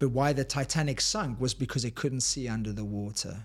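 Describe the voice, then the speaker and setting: A man with a South African accent, medium pitch and ordinary pitch variation at a moderate pace, on a very clean recording with a silent background. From South Africa, Cape Town. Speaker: high performance coach and author. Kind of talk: casual interview. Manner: animated, motivational.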